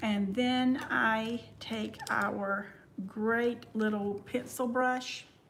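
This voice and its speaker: Speaking very slowly in a Southern US accent, a woman keeps a monotone, flat intonation in a room with audible echo. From US South. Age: 50s. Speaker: makeup vlogger. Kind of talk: livestream makeup tutorial. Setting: live stream at home. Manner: casual, chatty.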